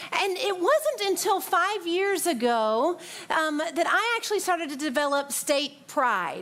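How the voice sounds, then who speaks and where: A woman with a Southern accent talks in an animated tone at an extremely high pitch, her pitch swinging very widely at a fairly slow pace, with audible room echo. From US South, Tennessee (near Nashville). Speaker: pastor. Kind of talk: sermon.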